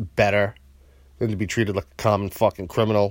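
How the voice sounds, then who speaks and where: A very clean recording with a silent background, featuring a man with a fairly low pitch. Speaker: online shock-humor podcaster. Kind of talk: profane, provocative angry rant delivered straight to camera. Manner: aggressive and expletive-laden, spitting out insults with mounting venom; loose, rambling and hesitant, with frequent filler sounds.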